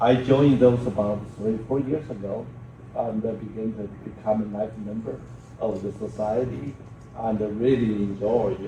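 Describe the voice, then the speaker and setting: With audible room echo and noticeable background noise, a man speaks fairly slowly at a medium pitch with ordinary pitch variation. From China. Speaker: professor. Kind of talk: conference talk. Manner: loud.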